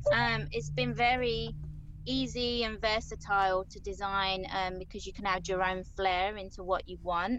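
In a Southeast London accent, a woman speaks at a moderate pace and medium pitch with ordinary pitch variation. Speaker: graphic designer. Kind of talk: casual interview.

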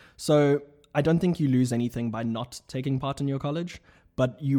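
A man's dark, mellow tone with fairly even intonation, in a very clean recording with a silent background. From South Africa. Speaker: graduate student. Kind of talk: casual chat.

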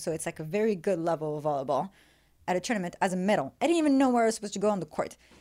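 A woman with a French accent and lively intonation on a very clean recording with a silent background. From Morocco. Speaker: professional beach volleyball player. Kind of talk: casual chat.

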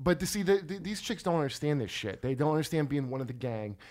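The speaker is a man with a New Jersey accent. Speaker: comedian podcast host. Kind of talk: casual chat. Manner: animated.

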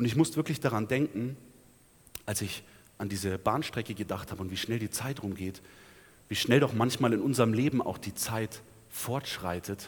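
The voice is somewhat breathy, with ordinary pitch variation. It moves at a moderate pace, broken by long, frequent pauses. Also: man, medium pitch for a man. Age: 20s. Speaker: preacher. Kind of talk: sermon. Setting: church.

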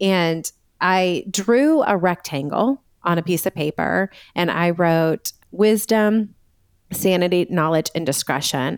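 A woman with an American accent and an ordinary speaking voice talks at a fairly slow pace and fairly low pitch, with ordinary pitch variation, in a very clean, dry, close recording with a silent background and no echo. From US Northeast (Massachusetts). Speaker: Enneagram coach and author. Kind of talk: casual interview chat.

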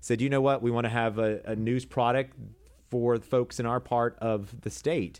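A man with an American accent speaks at a medium pitch. His is an ordinary speaking voice, moving at a moderate pace. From South Carolina, Fort Lawn. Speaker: TV news anchor and producer. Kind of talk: casual chat.

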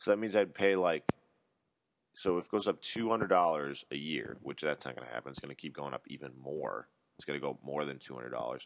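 This man's voice is very deep and low, with vocal fry. He talks very fast with lively intonation and big swings in loudness. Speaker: podcast host. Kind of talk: casual monologue. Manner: animated.

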